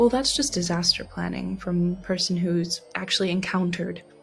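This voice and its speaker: Music plays in the background. A woman of medium pitch speaks at a moderate pace. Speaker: content creator. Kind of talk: casual vlog, reading test questions aloud. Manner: loud; animated.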